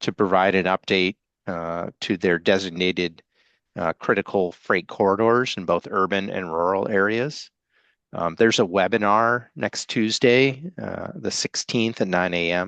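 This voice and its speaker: A man speaks with a very deep, low pitch and ordinary pitch variation, at a fairly slow pace. The sound is dry and close, with no echo. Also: quiet background. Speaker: regional transportation planning coordinator. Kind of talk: business meeting update.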